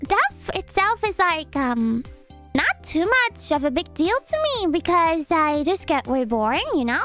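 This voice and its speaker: Over clear music in the background, a woman puts on a bubbly character voice at an extremely high pitch and a fairly slow pace. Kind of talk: playful vtuber lore roleplay. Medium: virtual streamer. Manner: bubbly, rambling, easily flustered.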